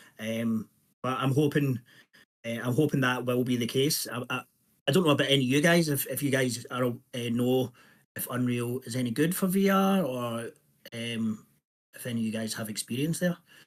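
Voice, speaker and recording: In a Scottish accent, a man talks at a moderate pace with a medium pitch and ordinary pitch variation. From Scotland. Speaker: indie game developer. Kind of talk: self-introduction in workshop. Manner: hesitant, many fillers.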